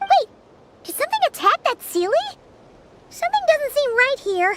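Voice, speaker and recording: In a put-on character voice, the speaker talks at a moderate pace with an extremely high, squeaky pitch. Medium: video game. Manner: excitable, quick.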